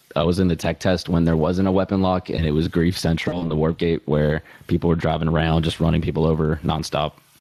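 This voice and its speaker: In a dark, mellow tone, a man with a very deep voice talks fairly quickly in a flat monotone, the sound dry and close with no echo. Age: 20s. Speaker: gamer and video maker. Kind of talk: casual chat.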